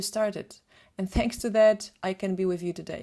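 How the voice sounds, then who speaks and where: A woman speaks with a Polish accent at medium pitch. Her pace is moderate. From Poland. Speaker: photographer and retoucher. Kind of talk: webinar presentation.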